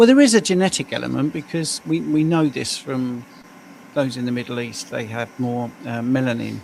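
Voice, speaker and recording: Moderate-paced speech from a man with a British accent. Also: medium pitch for a man, lively intonation. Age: 60s. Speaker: health coach. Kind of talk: casual livestream chat.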